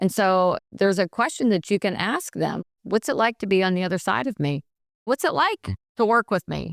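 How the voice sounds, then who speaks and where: In a very clean recording with a silent background and a dry, close sound with no echo, a woman with an American accent talks at a moderate pace in a medium pitch, with lively intonation and vocal fry. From Pittsburgh, Pennsylvania. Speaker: nurse and bullying prevention expert. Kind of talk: podcast interview. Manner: animated, gets louder when passionate.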